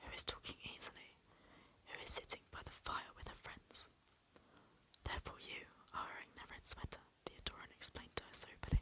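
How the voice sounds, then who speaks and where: A woman is whispering. She leaves long, frequent pauses. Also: big swings in loudness. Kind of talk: soft-spoken ASMR audiobook reading. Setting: home recording for relaxation and sleep. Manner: soft-spoken, whispery, relaxing.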